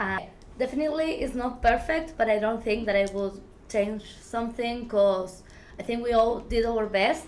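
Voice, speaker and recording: The voice carries ordinary pitch variation within audible room echo. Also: woman, fairly high pitch for a woman, moderate pace. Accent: Argentine. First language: Spanish. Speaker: filmmaker. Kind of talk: interview. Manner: halting, many fillers.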